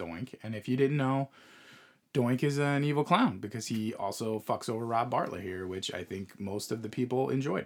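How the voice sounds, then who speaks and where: On a very clean recording with a silent background, an unremarkable speaking voice talks at a moderate pace. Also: man. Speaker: podcast host. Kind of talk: casual chat.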